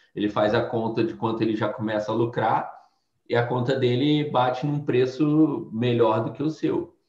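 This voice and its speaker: There is a somewhat breathy quality as a man talks at a moderate pace. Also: medium pitch for a man. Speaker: former bank treasurer and quant trading instructor. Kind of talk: casual interview.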